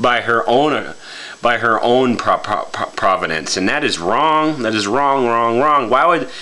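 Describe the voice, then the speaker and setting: Noticeable background noise sits behind a man speaking at a medium pitch and moderate pace, with ordinary pitch variation. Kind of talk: casual talk to camera. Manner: stammering, halting.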